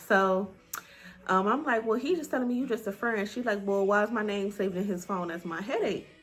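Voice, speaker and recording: A woman talks at a fairly quick pace. Her pitch moves with ordinary variation. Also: medium pitch for a woman. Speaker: YouTuber. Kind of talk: storytime. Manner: animated.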